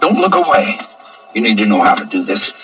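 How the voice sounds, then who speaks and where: A man puts on a raspy, high-pitched character voice at a fairly quick pace. Faint music plays in the background. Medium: short film. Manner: grim, terse.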